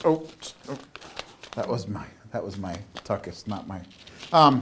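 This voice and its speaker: A man with an American accent talks at a moderate pace in a medium-pitched voice, with very wide pitch swings, big swings in loudness, and noticeable background noise. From southern Minnesota. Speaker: comedy show host. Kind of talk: comedic banter. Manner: animated.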